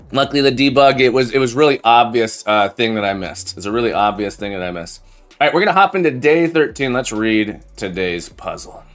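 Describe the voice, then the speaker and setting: A man races along at a very fast pace with hardly any pauses. His medium-pitched voice has lively intonation. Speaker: programming live streamer. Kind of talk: live coding stream chat. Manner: casual, halting with repetitions.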